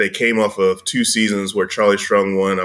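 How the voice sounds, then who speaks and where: With an American accent, a man talks at a fairly quick pace in a fairly low pitch with a bright, sharp tone. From Chicago. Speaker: sports blogger. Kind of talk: casual interview.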